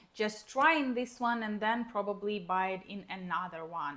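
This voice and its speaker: Someone with a Ukrainian accent talks at a moderate pace with ordinary pitch variation against noticeable background noise. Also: woman. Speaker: book vlogger. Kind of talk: casual vlog chat. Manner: hesitant, with fillers.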